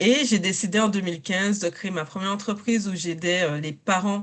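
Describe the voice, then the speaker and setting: Against a quiet background, a woman speaks at a medium pitch. Her pace is moderate and her pitch variation ordinary. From Saint Martin, Caribbean. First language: English and French (bilingual) (speaking French). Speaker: coach. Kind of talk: interview testimony.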